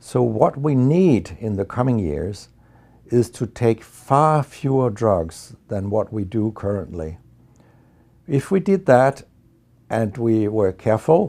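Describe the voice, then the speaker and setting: On a very clean recording with a silent background, a man with a Danish accent speaks very slowly at a medium pitch, his dark, mellow tone moving through very wide pitch swings. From Denmark. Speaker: medical researcher and professor. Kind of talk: interview monologue. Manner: hesitant fillers.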